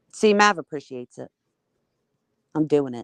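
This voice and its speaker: A man puts on a character voice that sounds nasal and sits fairly high. He keeps a moderate pace. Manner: jokey, clogged voice.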